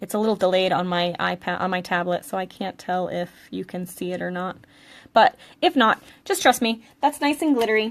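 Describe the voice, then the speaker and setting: A woman with a New England accent talks at a fairly quick pace and medium pitch, with ordinary pitch variation over a quiet background. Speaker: craft instructor and product seller. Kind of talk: live craft tutorial. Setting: live stream recorded on tablet. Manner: casual, chatty with fillers.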